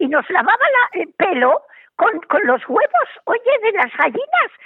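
At a moderate pace, a woman speaks at an extremely high pitch, her voice swinging very widely in pitch. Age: 80s+. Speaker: radio program contributor. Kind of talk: casual chat.

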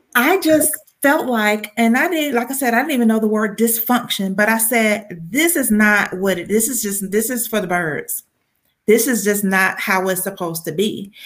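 A woman speaks in a Southern US accent. Her pace is moderate and her intonation lively. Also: fairly high pitch for a woman. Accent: Southern American. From US South, Georgia. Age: 40s. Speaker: faith-based business coach. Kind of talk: interview.

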